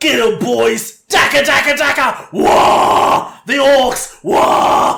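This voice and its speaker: At a very slow pace with hardly any pauses, a put-on character voice speaks at a fairly high pitch. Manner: shouting, battle cry.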